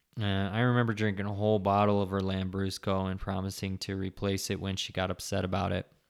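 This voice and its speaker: A man mumbles at a very fast pace with hardly any pauses, in a fairly low pitch and a monotone, flat intonation. The recording is very clean with a silent background. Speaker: podcast host on sobriety. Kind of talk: casual solo monologue. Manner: mumbling.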